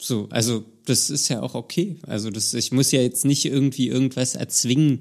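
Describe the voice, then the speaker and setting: Vocal fry runs through this man's medium-pitched voice as he speaks at a moderate pace with ordinary pitch variation. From Germany, Berlin. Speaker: podcast host. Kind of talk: casual chat.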